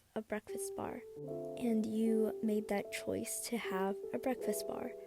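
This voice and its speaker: With music in the background, a woman speaks very slowly at a fairly high pitch. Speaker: shifting content creator. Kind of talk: explainer voiceover.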